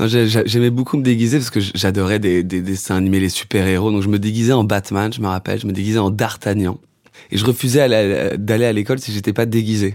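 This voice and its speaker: A man with a plain, everyday voice, fairly low in pitch, at a fairly quick pace with fairly even intonation. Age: 20s. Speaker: musician and songwriter. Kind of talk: casual interview chat.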